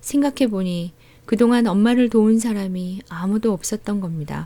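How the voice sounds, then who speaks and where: A woman speaks at a medium pitch and a fairly slow pace, with ordinary pitch variation. Her tone is dark and mellow and somewhat breathy. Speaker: audiobook narrator. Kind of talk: audiobook essay reading. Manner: soft-spoken.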